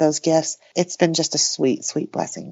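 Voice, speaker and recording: This woman has a normal speaking voice with fairly low pitch. Her intonation is fairly even. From New Mexico, US (born in Taiwan). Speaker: author and artist. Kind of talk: casual interview.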